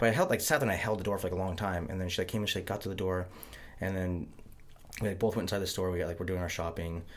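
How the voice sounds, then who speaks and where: Talking very fast in an American accent, a man with a very deep, low voice uses ordinary pitch variation amid audible room echo. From Montana. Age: 30s. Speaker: podcast host. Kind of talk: casual chat.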